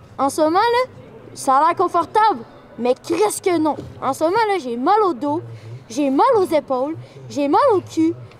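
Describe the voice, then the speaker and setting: A woman with a Quebec accent speaks at an extremely high pitch with very wide swings. She goes at a fairly slow pace with long, frequent pauses, over noticeable background noise. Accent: Québécois French. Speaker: streamer and YouTuber. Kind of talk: vlog and casual chat. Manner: animated.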